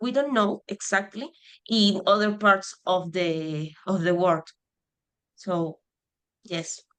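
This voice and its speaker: Using a Spanish accent, a woman speaks at a medium pitch with ordinary pitch variation. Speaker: conservation project member. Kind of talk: Q&A on video call. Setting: video call. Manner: halting, hesitant.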